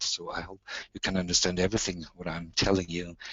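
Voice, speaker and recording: A man with a German accent speaks in a very deep, low voice. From southern Germany. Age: 60s. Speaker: musician and patient speaker. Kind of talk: webinar talk. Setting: online webinar. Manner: halting.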